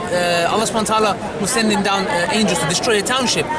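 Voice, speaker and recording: Amid crowd noise in the background and audible room echo, a man with a high voice talks at a very fast pace. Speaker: street preacher. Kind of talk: short religious reminder. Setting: outdoors in a public square.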